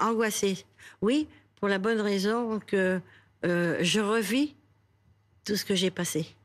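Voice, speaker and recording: A woman's medium-pitched voice at a very slow pace, with long, frequent pauses and very even loudness. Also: ordinary pitch variation. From Paris, France. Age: 80s+. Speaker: Holocaust survivor. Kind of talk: TV news interview answer. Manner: hesitant, halting.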